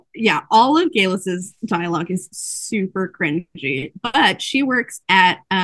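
A natural voice reading aloud, with quiet surroundings

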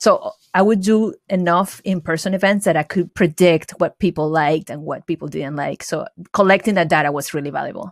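A woman with a Venezuelan accent speaks at a fairly quick pace in a medium pitch, her pitch varying in an ordinary way, with a dry, close sound and no echo. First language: Spanish. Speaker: entrepreneur and designer. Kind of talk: interview.

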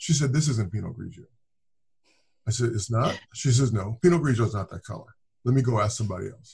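A man with an American accent talks very fast at a medium pitch, his voice somewhat breathy, his loudness swinging widely, and his speech broken by long, frequent pauses. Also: ordinary pitch variation. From Southern California (Inglewood). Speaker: winemaker. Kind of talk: casual interview.

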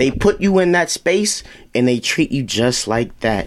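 A man speaks at a fairly high pitch with lively intonation. His pace is fairly slow. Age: 20s. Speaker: podcast guest, high school friend. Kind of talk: casual group chat.

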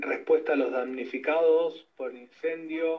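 A man is speaking. His pace is fairly slow. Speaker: environmental activist. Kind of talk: testimony.

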